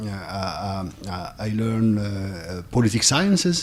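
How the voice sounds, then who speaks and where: With a non-native accent, a man talks at a fairly slow pace in a fairly low pitch with ordinary pitch variation, over noticeable background noise. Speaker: rural sociology lecturer. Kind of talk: panel self-introduction. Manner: halting, many fillers.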